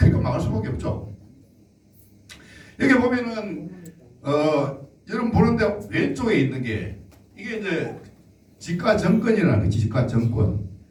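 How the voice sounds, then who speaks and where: With an animated tone and very wide pitch swings, a man with a fairly high pitch talks at a fairly slow pace with long, frequent pauses, amid audible room echo and noticeable background noise. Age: 60s. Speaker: political lecturer. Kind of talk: lecture with slides.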